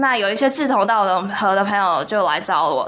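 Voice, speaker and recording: A woman speaks with lively intonation in a room with audible echo and noticeable background noise. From Taiwan. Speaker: university student. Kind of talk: radio interview.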